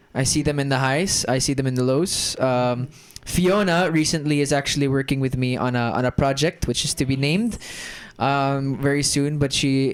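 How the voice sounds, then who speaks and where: With an American accent, a man speaks at a moderate pace in a fairly high pitch, his intonation fairly even and his loudness very even, against noticeable background noise. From Germany. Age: 20s. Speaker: actor and creative entrepreneur. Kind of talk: casual podcast chat.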